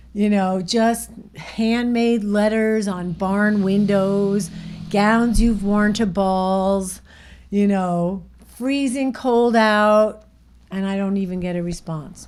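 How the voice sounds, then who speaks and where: A woman speaks at a very slow pace with fairly even intonation. Audible room echo surrounds her voice. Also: medium pitch for a woman. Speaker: operating room nurse. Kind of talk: casual podcast chat, storytelling.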